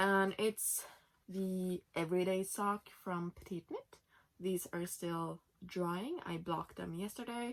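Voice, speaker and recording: Speaking at a very slow pace with a Norwegian accent, a woman keeps a medium pitch and fairly even intonation. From Norway. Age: 20s. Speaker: knitting podcaster. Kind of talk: casual podcast chat. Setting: home, sitting in bed.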